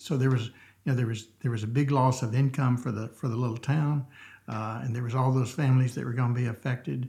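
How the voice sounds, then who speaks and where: With a Southern US accent, a man talks at a very fast pace in a somewhat breathy, dark, mellow tone, his medium-pitched voice keeping fairly even intonation. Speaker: church member sharing his story. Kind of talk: casual interview chat. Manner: halting, many fillers.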